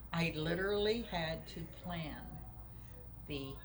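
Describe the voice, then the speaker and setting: A woman's speech comes through audible room echo and noticeable background noise. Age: 70s. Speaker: patient. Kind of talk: testimony.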